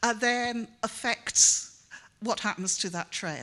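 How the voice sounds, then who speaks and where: A woman with a Welsh accent and a bright, sharp tone. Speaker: professor. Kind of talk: conference talk. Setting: conference stage with audience. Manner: halting, many fillers.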